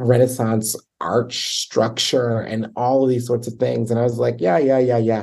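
This is an ordinary speaking voice: a man with an American accent at medium pitch. He talks at a moderate pace. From Baltimore, Maryland, US. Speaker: choral conductor and arts administrator. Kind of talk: interview conversation.

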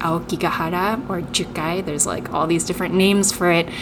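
With noticeable background noise behind her, a woman speaks in a fairly low pitch with fairly even intonation. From Tokyo, Japan, then Seattle from age eight. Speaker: playwright. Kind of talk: interview.

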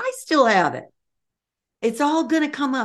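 A woman speaks with vocal fry at a moderate pace. The background is quiet. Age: 80s. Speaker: transformational leadership trainer and author. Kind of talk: interview.

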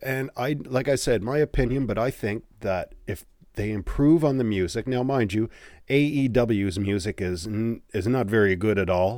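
A man with an unremarkable speaking voice talks at a moderate pace with ordinary pitch variation on a very clean recording with a silent background. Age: 40s. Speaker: wrestling podcast host. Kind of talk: solo podcast monologue. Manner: casual, conversational.

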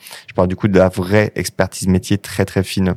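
Dry and close with no echo, a man's voice sits very deep and low, dark and mellow in tone, with monotone, flat intonation. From northern France. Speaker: software company CEO. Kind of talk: interview. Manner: halting.

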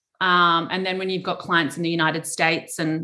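In an Australian accent, a woman with a fairly low pitch and a bright, sharp tone talks at a moderate pace with monotone, flat intonation. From Adelaide, South Australia. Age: 30s. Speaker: investor relations firm founder. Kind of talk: interview. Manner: relaxed; hesitant with many fillers.

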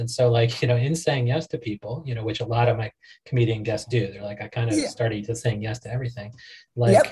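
His voice is somewhat breathy. The man has an American accent. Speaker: podcast host. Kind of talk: casual, profane.

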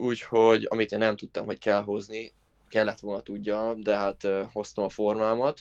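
A man speaks in a monotone, flat intonation at a fairly low pitch and moderate pace, with a dry, close sound and no echo. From Hungary. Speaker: former college tennis player. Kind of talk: interview.

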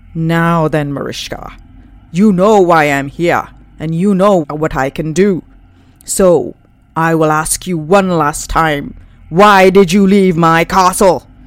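A woman puts on a character voice, pitched fairly low and delivered at a fairly slow pace. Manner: menacing, insistent.

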